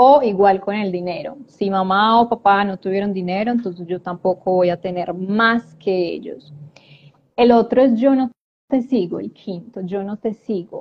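A woman with a medium pitch and ordinary pitch variation uses a normal speaking voice. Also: fairly slow pace. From Colombia, Medellín. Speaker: life coach and transgenerational therapist. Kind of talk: live-stream interview. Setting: live video stream.

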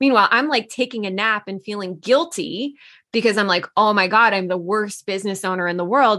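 A woman talks fairly quickly at a medium pitch in a bright, sharp tone, with ordinary pitch variation and a quiet background. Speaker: coach and business co-founder. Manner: casual, conversational with fillers.

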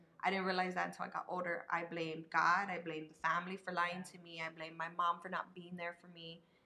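The voice has a bright, sharp tone and monotone, flat intonation. It moves at a very fast pace. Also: woman. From San Antonio, Texas (South Side). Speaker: business owner and community advocate. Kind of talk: casual chat.

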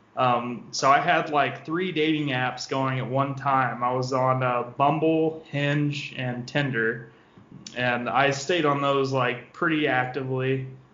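A man with an American accent speaks at a very slow pace in a medium pitch, his intonation fairly even, with noticeable background noise and audible room echo. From Southeast Missouri. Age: 20s. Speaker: office worker, dating guest. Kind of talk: casual chat.

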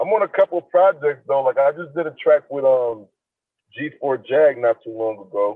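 With an American accent, a man with a fairly high pitch and an unremarkable speaking voice talks at a moderate pace with lively intonation. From Niagara Falls, New York, US. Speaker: hip hop artist. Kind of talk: casual interview chat.

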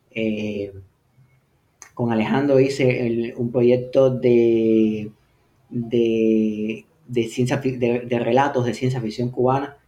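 A man's dark, mellow voice at medium pitch, very slow, with monotone, flat intonation and long, frequent pauses. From Havana, Cuba. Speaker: science fiction writer. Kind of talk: interview. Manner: halting, with many repetitions.

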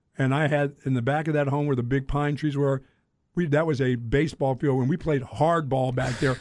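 In an American accent, a man with a fairly high voice speaks at a fairly quick pace in a flat monotone, keeping his loudness very even. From Greensboro, North Carolina. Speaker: radio host. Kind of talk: casual chat.

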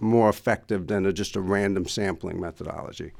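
This is a man talking. He has a New York accent. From New York, Queens. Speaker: former customs official and trade consultant. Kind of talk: interview.

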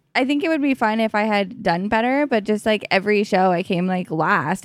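Using a normal speaking voice with a Canadian accent, a woman of medium pitch talks at a fairly quick pace with hardly any pauses, lively intonation and very even loudness, in a very clean recording with a silent background. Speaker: stand-up comedian. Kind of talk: casual chat. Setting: at her home.

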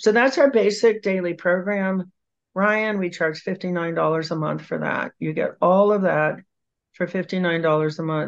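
The voice moves at a very slow pace with ordinary pitch variation over a quiet background. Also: woman, medium pitch for a woman. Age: 70s. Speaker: author and researcher.

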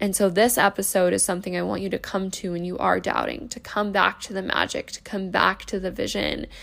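Pausing hardly at all, a woman keeps up a fairly quick pace. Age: 20s. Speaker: podcast host. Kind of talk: motivational pep talk, warm and sincere, like a supportive friend hyping you up.

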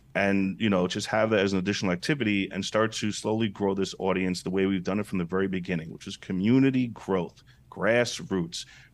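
An American man with an unremarkable speaking voice, fairly low pitch, ordinary pitch variation and hardly any pauses. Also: fairly quick pace. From Brooklyn, New York. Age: 40s. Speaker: entrepreneur. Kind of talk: interview.

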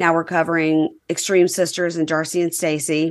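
In a Southern US accent, a woman talks at a fairly quick pace and fairly low pitch against a quiet background. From Mississippi, US South. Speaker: podcast host, reality TV recapper. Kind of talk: casual chat.

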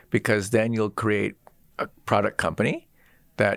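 A man with an American accent and a plain, everyday voice speaks at a fairly low pitch and moderate pace, on a very clean recording with a silent background and a dry, close sound with no echo. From US Pacific Northwest (Seattle). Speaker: designer and technologist, author. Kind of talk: interview.

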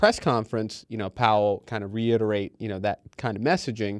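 In a plain, everyday voice, a man with a fairly low pitch talks at a moderate pace with fairly even intonation over a quiet background. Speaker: markets trader. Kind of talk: casual chat.

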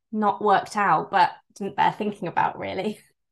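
A woman with a West Country accent and a fairly high pitch. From England, Bristol. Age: 30s. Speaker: fashion brand founder. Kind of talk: interview.

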